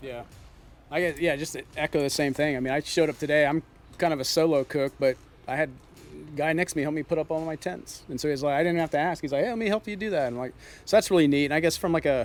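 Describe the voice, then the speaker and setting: A man races along very fast, his voice fairly high and his pitch shifting in an ordinary way. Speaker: competition barbecue cook. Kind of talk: interview. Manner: halting.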